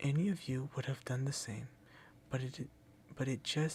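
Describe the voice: With fairly even intonation, the voice does plain reading aloud.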